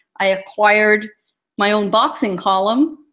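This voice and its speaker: A woman with an American accent has a plain, everyday voice. She talks at a fairly slow pace with a fairly high pitch. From Southern California (San Diego). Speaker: boxing columnist. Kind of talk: casual chat.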